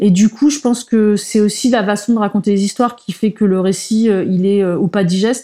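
A woman speaks at medium pitch and a moderate pace with hardly any pauses. Her loudness is very even and her intonation fairly even. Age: 40s. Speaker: comic book author. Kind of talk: interview conversation. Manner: halting.

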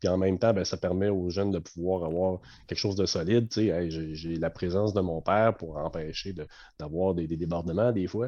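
A man's very deep, low voice with a dark, mellow tone and a Quebec accent, fairly even in intonation, at a moderate pace over a quiet background. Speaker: umpire supervisor. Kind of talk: casual chat.

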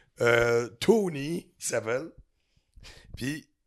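A man talks with a Quebec accent and ordinary pitch variation. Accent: Québécois French. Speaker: butcher. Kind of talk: casual chat.

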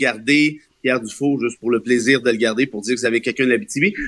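Talking very fast, a man keeps a medium pitch with ordinary variation. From Quebec, Laurentides (Mont-Laurier). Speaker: columnist and lawyer. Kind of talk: radio panel discussion.

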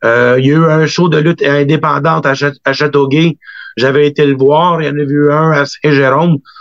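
In a Quebec accent, a man speaks at a fairly high pitch and a moderate pace, with monotone, flat intonation and very even loudness. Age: 40s. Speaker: wrestling booker and promoter. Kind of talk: interview.

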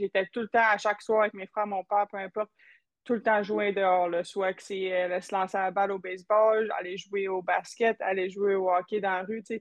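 A woman's medium-pitched voice, monotone and flat in intonation, at a moderate pace. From Quebec. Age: 20s. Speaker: professional hockey player. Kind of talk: interview.

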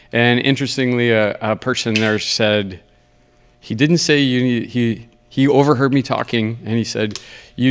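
With typical rises and falls in pitch, a man speaks in a plain, everyday voice. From Ontario, Canada. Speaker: karate instructor and competitor. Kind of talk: casual interview.

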